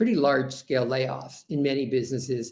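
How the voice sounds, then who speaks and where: In a New York accent, a man speaks with a fairly high pitch, a dark, mellow tone, and fairly even intonation. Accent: New York American. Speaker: HR consultant. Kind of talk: webinar presentation. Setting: webinar.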